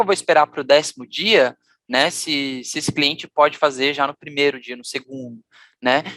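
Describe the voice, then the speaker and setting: A man's voice with a dry, close sound and no echo. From Brazil, Florianópolis, Santa Catarina. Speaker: customer experience leader, conference speaker. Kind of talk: conference talk. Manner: fast.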